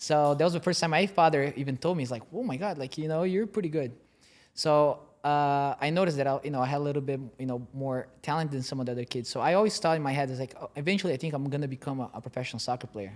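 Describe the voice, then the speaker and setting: On a very clean recording with a silent background, a man with a Portuguese accent talks at a very fast pace in a fairly high voice with ordinary pitch variation. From Brazil, then Utah. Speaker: former soccer player and team owner. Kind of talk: interview. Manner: hesitant, many fillers.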